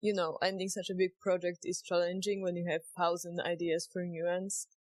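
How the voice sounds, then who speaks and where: Dry and close with no echo, the speaker uses a Polish accent, a monotone, flat intonation and a moderate pace. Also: woman. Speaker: indie game developer. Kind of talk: vlog narration.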